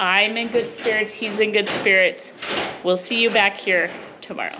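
A woman at a moderate pace with fairly even intonation, light background noise behind her. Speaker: homestead vlogger. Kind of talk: casual vlog chat. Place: home room. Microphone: phone near.

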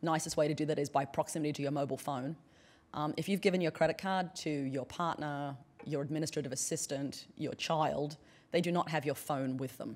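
Speaking at a fairly quick pace, a woman with an American accent has a very deep, low pitch. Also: fairly even intonation. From Australia (central and northern). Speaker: anthropologist and professor; professor. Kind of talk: conference keynote. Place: hall. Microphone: podium.

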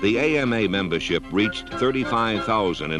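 A man speaks at a fairly low pitch with very wide swings up and down. Music plays in the background. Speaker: narrator. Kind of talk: documentary narration. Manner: slow, measured.

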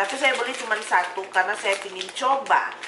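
Clear background noise runs under the recording. A woman talks at a moderate pace.

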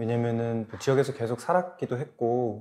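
He speaks in a normal speaking voice at medium pitch. The man keeps a moderate pace. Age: 30s. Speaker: startup founder. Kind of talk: panel discussion. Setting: studio.

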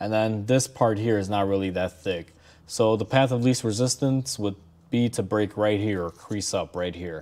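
A man's tone is dark and mellow. He talks at a moderate pace with ordinary pitch variation. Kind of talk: tutorial commentary. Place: workshop. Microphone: phone near.

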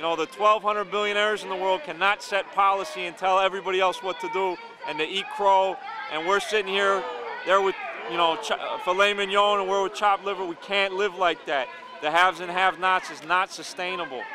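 A man's raised, projected voice, high in pitch with fairly even intonation, at a fairly quick pace, dry with no echo over noticeable background noise. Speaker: union activist. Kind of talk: interview answers, fiery political speech. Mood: indignant, activist. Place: street. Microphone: handheld.

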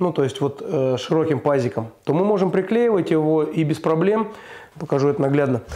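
A man speaks fairly quickly in a dark, mellow tone with ordinary pitch variation. The background is quiet. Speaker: DIY home-building vlogger. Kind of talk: casual vlog chat. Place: empty room. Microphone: lapel.

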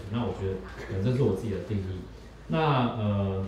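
The speech moves at a moderate pace with ordinary pitch variation, over light background noise and audible room echo. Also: man. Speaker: social work student and event organizer. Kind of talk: audience self-introduction. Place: cafe.

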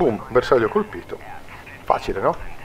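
A man talks with very wide pitch swings. Background noise is noticeable. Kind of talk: gameplay tutorial commentary. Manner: casual, many hesitations.

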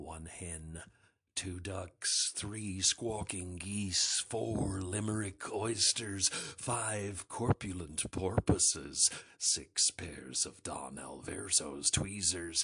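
In a put-on character voice, a man speaks at a very slow pace with a very deep, low pitch. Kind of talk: movie trailer. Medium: voice reel.

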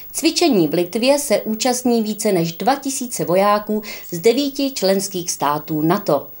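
Very wide pitch swings from a woman speaking fairly high and fairly slowly. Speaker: news anchor. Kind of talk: news reading. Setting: studio. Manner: formal.

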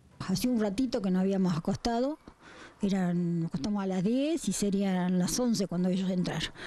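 With a Rioplatense accent, the speaker has a dark, mellow tone, very even loudness and ordinary pitch variation at a moderate pace. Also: woman. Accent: Argentine Spanish (rioplatense). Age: 80s+. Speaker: robbery victim. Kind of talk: testimony. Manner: halting. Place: garden. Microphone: handheld.

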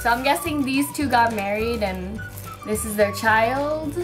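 A woman talks at a fairly slow pace, and clear music can be heard behind her. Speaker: vlogger. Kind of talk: casual vlog chat. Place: home room. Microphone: phone near.

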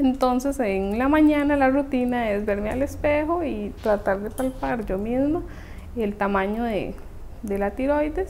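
Over light background noise, a woman talks at a fairly slow pace. Her voice is high-pitched with lively intonation. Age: 20s. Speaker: dentistry student with thyroid condition. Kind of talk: interview testimony. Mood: calm, reflective. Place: home room.

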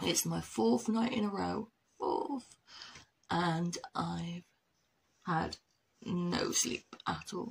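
Quiet and very slow, a woman speaks with long, frequent pauses. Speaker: vlogger. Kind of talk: casual vlog talk.

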